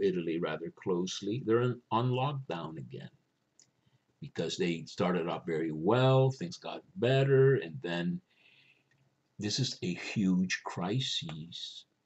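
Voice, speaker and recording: Speaking at a fairly slow pace, a man with a fairly low pitch lets his voice swing very widely. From Cuba. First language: Spanish. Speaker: religious video host. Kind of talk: spiritual reflection monologue. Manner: conversational, with hesitations.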